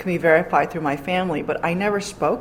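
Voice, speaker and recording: A woman speaks at a medium pitch with a Korean accent. Noticeable background noise is present. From New York City, Queens. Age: 40s. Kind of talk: interview.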